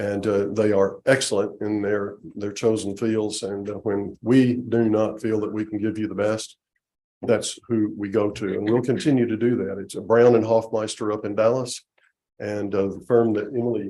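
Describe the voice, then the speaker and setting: An American accent comes through in a man's fairly low, dark and mellow voice. He speaks at a moderate pace in a flat monotone, with audible room echo. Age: 70s. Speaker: attorney. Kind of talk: presentation to city council. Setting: city council meeting. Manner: halting, many fillers.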